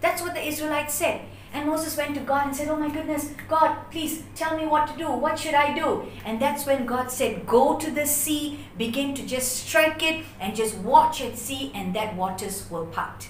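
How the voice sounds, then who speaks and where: A woman speaks at a high pitch with ordinary pitch variation. Audible room echo and light background noise surround her voice. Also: moderate pace. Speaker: bible teacher. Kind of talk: sermon. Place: home room. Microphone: camera far.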